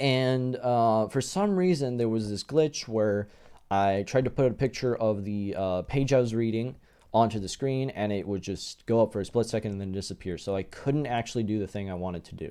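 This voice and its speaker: A man speaks at a moderate pace and medium pitch, with ordinary pitch variation. His tone is dark and mellow against a quiet background. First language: not English. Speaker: YouTuber. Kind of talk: casual vlog commentary. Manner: hesitant, many fillers.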